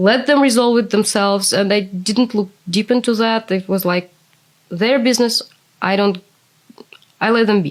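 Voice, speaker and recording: A woman in a Russian accent, fairly high in pitch, at a moderate pace with fairly even intonation and long, frequent pauses. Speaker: interviewee, former translator. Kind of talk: interview.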